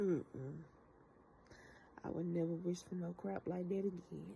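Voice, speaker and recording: Somewhat breathy and fairly low in pitch, this woman's voice has a dark, mellow tone. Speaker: vlogger. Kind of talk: casual chat. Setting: at home.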